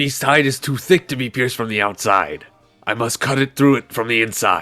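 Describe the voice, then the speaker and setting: Over faint background music, a man uses a put-on character voice at a medium pitch and a fairly quick pace. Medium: audio drama. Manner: formal, blunt.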